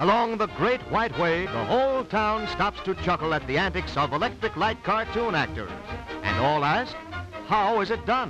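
Clear music sits behind a man who speaks at a moderate pace with very even loudness in a dry sound with no echo. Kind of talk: 1930s newsreel narration. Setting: vintage archival film recording. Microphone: old recording.

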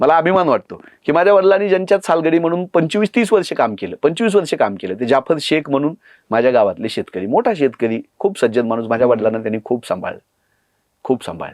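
Very wide pitch swings mark this man's speech. The background is quiet, and the sound is dry and close with no echo. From Marathwada, Dharashiv district, Maharashtra. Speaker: political party spokesperson. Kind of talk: podcast interview. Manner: impassioned.

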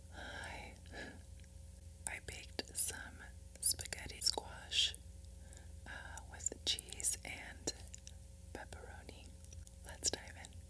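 A woman whispers at a very slow pace, leaving long, frequent pauses. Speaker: ASMR content creator. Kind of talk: ASMR eating video, casual talk to camera. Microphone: studio mic.

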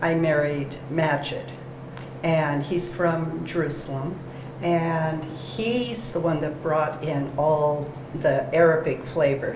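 With noticeable background noise, a woman speaks at a very slow pace in a very deep, low pitch. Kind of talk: interview answer. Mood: warm, smiling. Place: cafe. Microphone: lapel.

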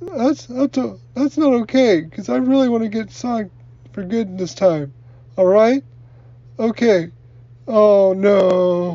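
A cartoonish character voice, female-sounding and medium-pitched, at a fairly slow pace with long, frequent pauses. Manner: hesitant, stammering.

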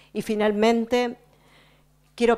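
A woman's voice with fairly high pitch. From Patagonia, Argentina; Argentina. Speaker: speaker. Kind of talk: speech to audience, interpreted. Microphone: handheld.

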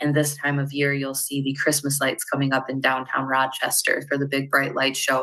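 A woman speaks at a very deep, low pitch with a bright, sharp tone. The background is quiet. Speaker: credit union representative. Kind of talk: interview. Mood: warm, enthusiastic. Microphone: earbuds.

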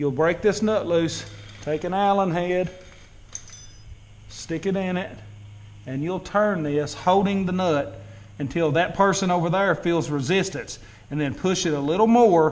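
This man's voice sits at a high pitch. He talks at a fairly slow pace with long, frequent pauses. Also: ordinary pitch variation. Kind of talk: tutorial. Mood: mildly annoyed, relaxed. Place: garage. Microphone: phone near.

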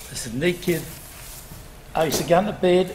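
With a Northumbrian accent, a man talks at a moderate pace in a high-pitched voice over noticeable background noise. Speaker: former coal miner. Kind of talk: reminiscence storytelling.

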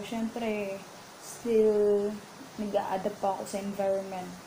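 A woman talks at a fairly slow pace with a fairly high pitch. Light background noise can be heard. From Philippines. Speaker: caregiver and vlogger; vlogger. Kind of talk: casual vlog talk. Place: home room. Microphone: earbuds.

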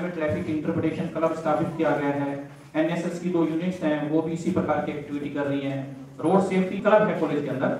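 A man talks at a moderate pace with fairly even intonation. Light background noise and audible room echo surround him. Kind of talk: formal speech. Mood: earnest road safety appeal. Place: hall.

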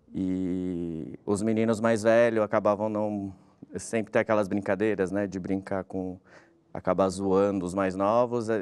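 The delivery comes at a fairly slow pace. Its intonation is monotone and flat. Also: man, fairly low pitch for a man. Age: 30s. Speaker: journalist, brother of a crash victim. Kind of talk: testimony. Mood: reflective, recounting personal loss. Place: studio.

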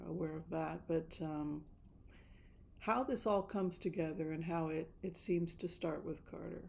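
Light background noise sits under a voice with fairly even intonation. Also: woman. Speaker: tarot reader vlogger. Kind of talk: casual vlog chat. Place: home room. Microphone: studio mic.

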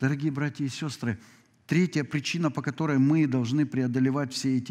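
Over a quiet background, a man speaks at a medium pitch and a moderate pace. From Ukraine. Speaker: pastor. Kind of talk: sermon. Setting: church. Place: church.

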